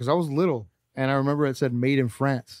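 In a dry, close sound with no echo, a man with a Californian accent talks at a fairly quick pace and a fairly high pitch. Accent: Californian American English. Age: 30s. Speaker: sneaker podcast co-host. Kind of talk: casual chat.

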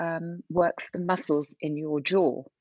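A woman uses a normal speaking voice at a fairly low pitch with ordinary pitch variation. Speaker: wellbeing founder. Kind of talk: casual interview.

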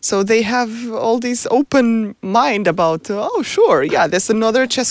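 The speech has lively intonation and a Portuguese accent at a moderate pace. Noticeable background noise is present. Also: woman. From Portugal. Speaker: robotics professor. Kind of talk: interview.

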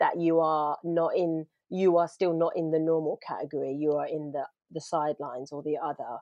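A normal speaking voice at a moderate pace. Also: woman. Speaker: actor and playwright. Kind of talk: casual chat.

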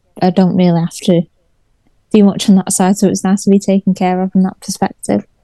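Speaking at a very fast pace, a woman of medium pitch has a dark, mellow, somewhat breathy tone and monotone, flat intonation, recorded with a dry, close sound with no echo. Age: 30s. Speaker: car content creator. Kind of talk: casual chat.

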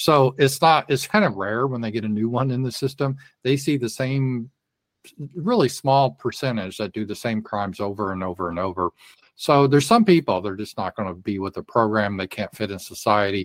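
A man with an American accent and an ordinary speaking voice talks at a medium pitch and a fairly quick pace with ordinary pitch variation, the sound dry and close with no echo. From Colorado, US. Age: 60s. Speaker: political commentator. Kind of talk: casual interview. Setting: remote call on livestream.

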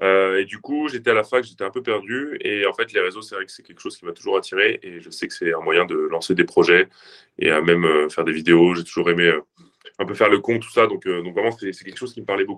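At a fairly quick pace, the voice shows big swings in loudness. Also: man. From southern France. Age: 20s. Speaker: fitness influencer and powerlifter. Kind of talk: casual interview.

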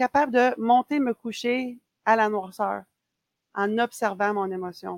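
In a Quebec accent, a woman speaks very slowly at a fairly high pitch with ordinary pitch variation, and the sound is dry and close with no echo. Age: 40s. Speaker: ultra runner and running coach. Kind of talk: casual chat. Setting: remote call.

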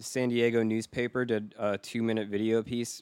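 A man with an unremarkable speaking voice talks at a moderate pace and a medium pitch, the sound dry and close with no echo. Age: 30s. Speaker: podcast producer and audio engineer. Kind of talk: casual chat. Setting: video call.

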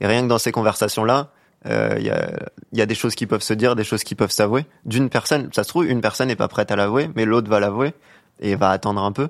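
On a very clean recording with a silent background, a man talks very fast at medium pitch, with ordinary pitch variation and vocal fry. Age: young. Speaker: panelist giving a man's view. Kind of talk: casual chat.

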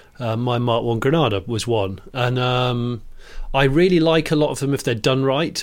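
Here a man talks with a British accent at a moderate pace. His pitch is medium, with ordinary variation. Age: 40s. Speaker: podcast co-host, TV presenter and YouTuber. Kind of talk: casual chat.

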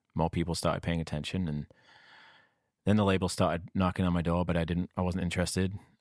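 The speech comes at a very fast pace. The recording is very clean with a silent background, and the sound is dry and close with no echo. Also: man. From northern England. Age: 40s. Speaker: singer-songwriter. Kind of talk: casual interview.

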